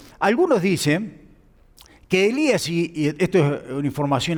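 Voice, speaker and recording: With a normal speaking voice, a man talks at a moderate pace, his pitch fairly high and his intonation lively. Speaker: pastor. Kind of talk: sermon.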